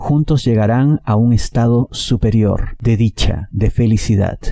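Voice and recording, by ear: Vocal fry runs through a dark, mellow tone. The pace is fairly slow. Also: man.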